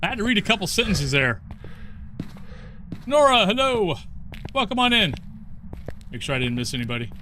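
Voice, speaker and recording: A man with an American accent, high-pitched, in a raised, projected voice, at a fairly quick pace, with very wide pitch swings and long, frequent pauses. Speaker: video game streamer. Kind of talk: casual live gaming stream.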